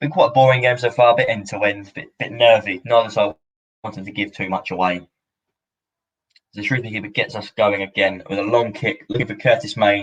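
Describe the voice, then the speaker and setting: His intonation stays fairly even as a man talks fairly fast. The voice has a somewhat breathy quality. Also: fairly low pitch for a man. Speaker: football fan streamer. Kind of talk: live watch-along commentary. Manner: casual, chatty.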